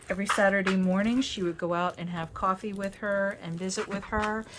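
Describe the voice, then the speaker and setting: Fairly even intonation from a woman at a moderate pace, noticeable background noise underneath. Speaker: craft video creator. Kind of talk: casual unboxing video.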